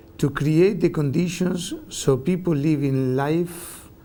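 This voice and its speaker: With a Spanish accent, a man speaks in a dark, mellow tone at a fairly slow pace, his pitch varying in an ordinary way. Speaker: professor. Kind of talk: interview.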